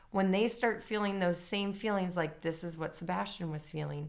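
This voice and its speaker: Noticeable background noise is present throughout. Over it, the speech has lively intonation. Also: woman. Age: 30s. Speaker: former teacher, stay-at-home mother. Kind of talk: casual book discussion.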